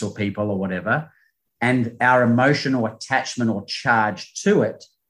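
A man with a New Zealand accent at a moderate pace, his intonation fairly even. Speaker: performance coach. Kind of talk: interview.

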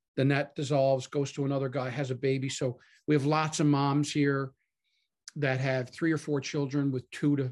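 A man with a Newfoundland accent, fairly high in pitch, at a moderate pace against a quiet background. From Canada, Newfoundland (Harbour Grace). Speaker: pastor. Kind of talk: casual interview. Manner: animated.

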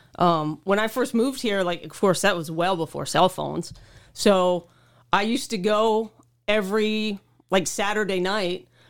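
The speaker has a plain, everyday voice. Pitch varies in an ordinary way at a moderate pace. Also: woman, medium pitch for a woman. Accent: American. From Oklahoma, small town. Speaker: motorcycle traveler. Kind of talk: casual interview.

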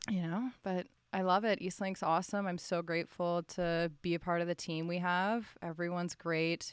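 In a Canadian accent, a woman with fairly low pitch talks at a moderate pace with hardly any pauses and fairly even intonation, a normal speaking voice on a very clean recording with a silent background. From Ottawa, Ontario, Canada. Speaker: sports broadcaster, former university hockey player. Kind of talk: casual interview.

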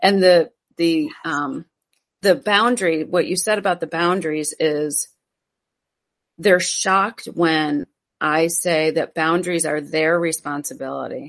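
A woman with an ordinary speaking voice talks at a fairly slow pace. Her pitch is fairly low, with ordinary pitch variation. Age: 50s. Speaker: self care coach. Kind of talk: casual chat.

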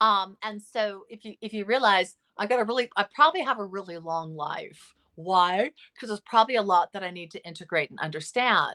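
A woman with a Californian accent speaks at a fairly quick pace and medium pitch, her bright, sharp tone showing ordinary pitch variation and big swings in loudness, in a dry, close sound with no echo. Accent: Californian American. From Los Angeles, US. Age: 50s. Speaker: psychotherapist. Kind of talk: interview.

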